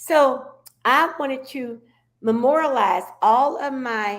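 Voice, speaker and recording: Speaking at a very slow pace, a woman with an American accent uses a high pitch and lively intonation. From Oklahoma. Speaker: civil rights activist and author. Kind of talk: interview testimony.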